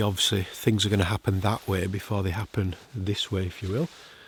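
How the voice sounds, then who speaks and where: The man is soft-spoken. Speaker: landscape photographer. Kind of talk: vlog narration. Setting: outdoors, wild camping in hills.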